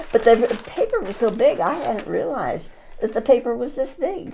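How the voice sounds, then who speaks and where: Amid noticeable background noise, a woman with an American accent talks at a moderate pace. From Fresno, California. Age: 80s+. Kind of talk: interview answer.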